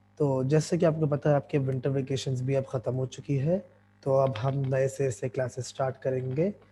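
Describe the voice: This man has a medium-pitched, hoarse voice with a slightly husky edge and a dark, mellow tone. His intonation stays fairly even. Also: moderate pace.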